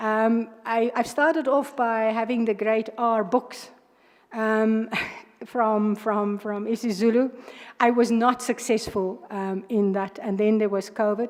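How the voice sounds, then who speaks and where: In a South African accent, a woman speaks fairly slowly at a fairly high pitch with fairly even intonation. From South Africa, Northern Cape. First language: Afrikaans. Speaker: judge, candidate for judicial post. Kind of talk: job interview. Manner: hesitant, many fillers.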